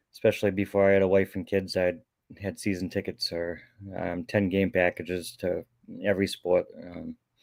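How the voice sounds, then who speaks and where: Over a very clean recording with a silent background, a man talks at a moderate pace in a fairly low voice. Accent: Boston. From Boston, Massachusetts. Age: 40s. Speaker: lawn care business owner. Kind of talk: interview.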